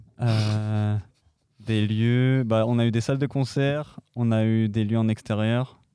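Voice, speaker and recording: A man with a dark, mellow tone and medium pitch speaks very slowly in a monotone, flat way. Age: 20s. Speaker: DJ and music producer. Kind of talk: casual interview.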